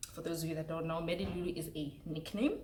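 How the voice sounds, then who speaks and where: A woman with a South African accent speaks in an animated tone at moderate pace, with audible room echo and noticeable background noise. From South Africa, Mpumalanga. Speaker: YouTuber. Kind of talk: casual chat. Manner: loud.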